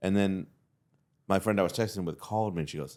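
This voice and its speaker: A man talks with an American accent. His voice is very deep and low, with vocal fry. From Texas (Fort Worth). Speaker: comedian. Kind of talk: casual chat.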